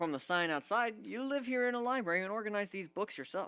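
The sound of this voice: Doing a put-on character voice, a man speaks fast and high with lively intonation and a bright, sharp, yet clear and smooth tone.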